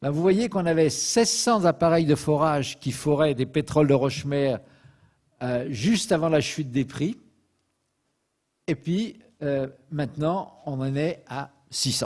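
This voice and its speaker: A man's fairly high voice at a very slow pace, with lively intonation and long, frequent pauses. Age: 70s. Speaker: petroleum expert lecturer. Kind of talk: lecture. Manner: hesitant fillers (euh).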